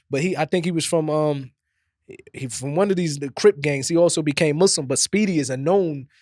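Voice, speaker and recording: A man with an East Coast US accent speaks in a fairly high pitch with ordinary pitch variation. The recording is very clean, dry and close, with a silent background and no echo. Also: fairly quick pace. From New Jersey. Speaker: podcast host, former rapper. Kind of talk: casual chat.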